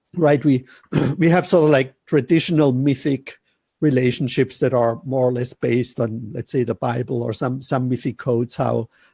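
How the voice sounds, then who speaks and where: A man's medium-pitched, somewhat breathy voice with a dark, mellow tone and a German accent, dry and close with no echo over a quiet background. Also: ordinary pitch variation, moderate pace. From Germany. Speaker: relationship coach. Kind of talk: interview.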